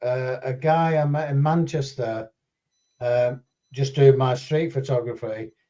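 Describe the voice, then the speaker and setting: Very slowly, a man speaks in a somewhat breathy, fairly high voice with a dark, mellow tone. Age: 70s. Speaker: drone videographer. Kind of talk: casual chat. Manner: hesitant.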